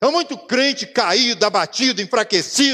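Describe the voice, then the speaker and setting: In a Brazilian accent, a man speaks in a raised, projected voice at an extremely high pitch, fairly slow, with an animated tone and lively intonation. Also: quiet background. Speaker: pastor. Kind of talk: sermon. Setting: church. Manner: animated, fervent, exclaiming repeated hallelujahs; colloquial, preaching with personal anecdotes and direct address to the congregation. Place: church.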